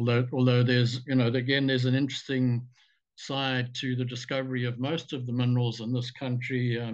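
Over a quiet background, a man speaks fairly quickly in a monotone, flat intonation. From South Africa, KwaZulu-Natal. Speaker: mining consultant and geologist. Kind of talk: interview. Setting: remote call. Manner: halting, with many fillers. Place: home room. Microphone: webcam.

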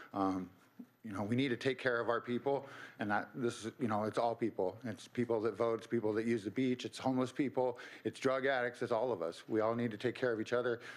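A man with an American accent, fairly quick pace and fairly even intonation. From Santa Cruz, California; California. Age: 50s. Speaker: public commenter. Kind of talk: public comment. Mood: earnest, slightly emphatic. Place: hall. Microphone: podium.

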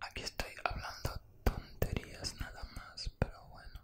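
Whispering at a very slow pace, a man is soft-spoken. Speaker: content creator. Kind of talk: casual whispered chat. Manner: soft close-mic Spanish whisper. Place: home room. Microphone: studio mic.

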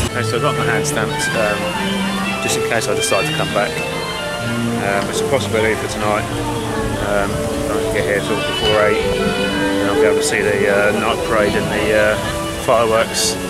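Someone talks at a fairly quick pace over loud music in the background. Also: man. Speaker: travel vlogger. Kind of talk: casual vlog chat. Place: market. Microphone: phone near.

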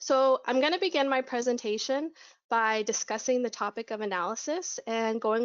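The speaker talks at a fairly quick pace with ordinary pitch variation against a quiet background. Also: woman. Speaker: conference speaker. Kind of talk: presentation.

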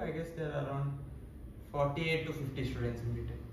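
A man speaks in a fairly high pitch, with audible room echo and light background noise. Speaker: engineering student, top exam ranker. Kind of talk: interview answer. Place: office.

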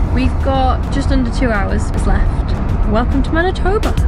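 A woman speaks at a moderate pace with music playing in the background. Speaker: travel vlogger. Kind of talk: casual vlog chat. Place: car. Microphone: phone near.

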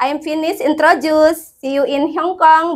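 Against a quiet background, a woman with an extremely high pitch talks at a fairly slow pace with fairly even intonation. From Indonesia, West Java. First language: Indonesian. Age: 30s. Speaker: domestic helper applicant. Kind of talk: self-introduction video. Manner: formal. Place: empty room. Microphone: lapel.

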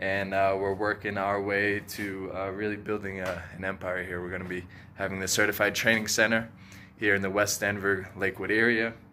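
A man's fairly low voice with a bright, sharp tone, at a moderate pace over light background noise. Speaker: jiu-jitsu coach. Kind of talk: casual vlog chat. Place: garage. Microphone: phone near.

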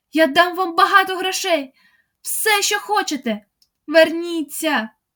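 Shouting at a fairly slow pace, a woman uses a put-on character voice at an extremely high pitch. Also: lively intonation. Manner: shouted, desperate, pleading.

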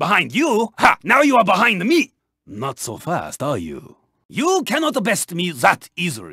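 A man puts on a character voice, pitched high. He keeps a moderate pace. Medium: video game. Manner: formal, clipped, dropping articles.

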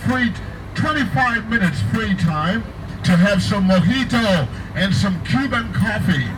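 A man is heard speaking with noticeable background noise. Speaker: tour bus host. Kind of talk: tour announcement. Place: bus. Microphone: pa.

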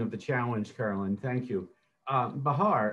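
Male voice with ordinary pitch variation. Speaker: panel moderator. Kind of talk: panel discussion. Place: home room. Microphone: video call.

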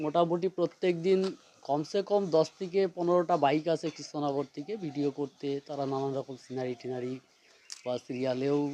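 With ordinary pitch variation, a man talks in a fairly high voice with a dark, mellow tone. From rural Nadia, West Bengal. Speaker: villager. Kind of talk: street interview.

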